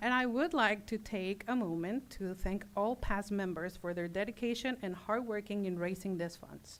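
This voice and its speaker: With a non-native accent, a woman talks at medium pitch with ordinary pitch variation. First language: not English. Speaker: nonprofit volunteer representative. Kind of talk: formal presentation speech.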